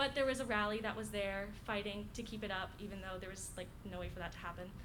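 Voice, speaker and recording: A woman's very fast speech in an American accent, medium in pitch with fairly even intonation, and audible room echo. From Florida, US. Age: 19. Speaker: college student. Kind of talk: casual introduction and story. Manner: halting, many fillers.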